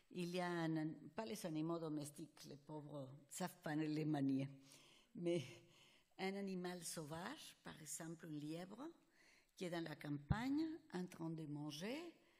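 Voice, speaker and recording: A woman with a non-native accent speaks at a fairly low pitch with long, frequent pauses and audible room echo. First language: Spanish (speaking French). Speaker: psychologist. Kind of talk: conference lecture. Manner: halting.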